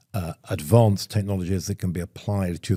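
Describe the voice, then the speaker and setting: A man's very deep, low voice with a dark, mellow tone and fairly even intonation comes through dry and close with no echo, on a very clean recording with a silent background. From Europe. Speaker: podcast host. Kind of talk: panel interview. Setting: live event.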